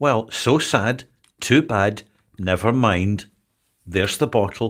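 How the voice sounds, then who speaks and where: A man's very slow, fairly low voice, with ordinary pitch variation and very even loudness, in a very clean recording with a silent background. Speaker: co-host, brother. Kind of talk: casual chat. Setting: livestream. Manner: stilted, slightly patronising tone; formal.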